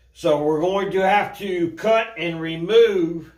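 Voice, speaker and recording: With audible room echo, a man speaks very slowly in a high pitch, keeping his intonation fairly even. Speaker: garage mechanic / DIY builder. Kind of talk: workshop tutorial. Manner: casual, informal.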